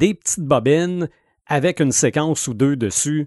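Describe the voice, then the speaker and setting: In a Quebec accent, a man speaks at a very slow pace and a fairly high pitch, in a dry, close sound with no echo against a quiet background. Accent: Québécois French. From Quebec, Sherbrooke. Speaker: radio host and podcaster. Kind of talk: casual chat.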